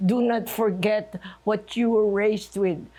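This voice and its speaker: Speaking at a very slow pace, a woman has a medium pitch, fairly even intonation and a dark, mellow tone. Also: very clean recording, silent background. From Philippines (Manila). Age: 90s. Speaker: retired chemist and writer. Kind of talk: oral history interview.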